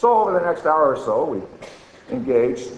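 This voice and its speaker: Amid noticeable background noise and audible room echo, a man speaks in a high pitch with very wide pitch swings. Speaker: archaeologist. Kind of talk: conference talk, reading an essay extract. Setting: conference with audience and microphone. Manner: loud.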